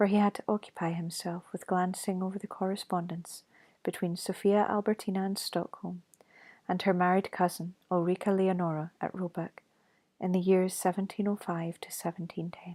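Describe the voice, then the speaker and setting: In a very clean recording with a silent background, a soft-spoken voice talks with a Scottish accent. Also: moderate pace. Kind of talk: ASMR ghost story reading.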